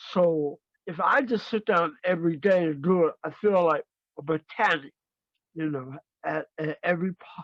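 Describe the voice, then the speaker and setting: This man has a high pitch and ordinary pitch variation, speaking at a moderate pace in a dry, close sound with no echo. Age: 60s. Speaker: gospel musician and songwriter. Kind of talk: interview. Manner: halting.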